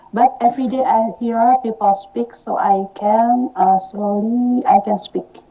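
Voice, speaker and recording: A woman's fairly high voice with ordinary pitch variation, fairly slow, amid noticeable background noise. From Indonesia. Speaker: language learner. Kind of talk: casual chat. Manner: halting.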